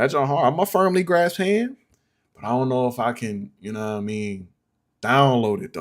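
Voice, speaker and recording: At a moderate pace and medium pitch, a man speaks with very wide pitch swings and big swings in loudness, on a very clean recording with a silent background. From upstate New York. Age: 30s. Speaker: music producer streamer. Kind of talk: live stream beat review. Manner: casual, rambling.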